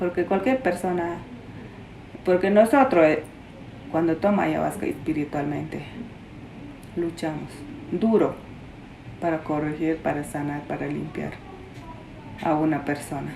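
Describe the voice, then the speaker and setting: The speech moves at a fairly slow pace, with long, frequent pauses and ordinary pitch variation. Room echo is audible. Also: woman. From Peruvian Amazon, Shipibo. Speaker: traditional healer. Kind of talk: interview. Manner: halting.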